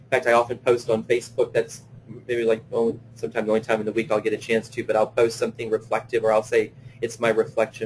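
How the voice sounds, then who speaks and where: A man speaks very fast in a somewhat breathy, monotone voice with flat intonation. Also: medium pitch for a man. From Louisiana. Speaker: play therapist presenting a webinar. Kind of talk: webinar lecture; guided visualization. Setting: online webinar. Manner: hesitant, many fillers.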